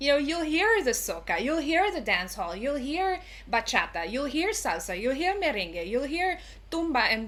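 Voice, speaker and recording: With audible room echo, a woman speaks at a moderate pace in a bright, sharp tone with very wide pitch swings. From Curaçao. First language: Papiamento. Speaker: cultural educator. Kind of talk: interview.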